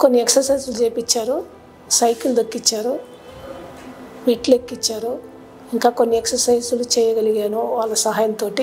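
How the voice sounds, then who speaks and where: Over background music, a woman with a fairly high pitch talks in a flat, monotone way. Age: 70s. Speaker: nun, knee replacement patient. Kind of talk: patient testimonial.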